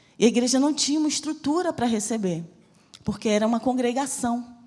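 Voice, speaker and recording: A woman speaks in a fairly high pitch with very wide pitch swings. Her tone is dark and mellow, and somewhat breathy. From Brazil, Bahia (Salvador). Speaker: missionary preacher. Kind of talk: sermon with personal testimony. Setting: church service.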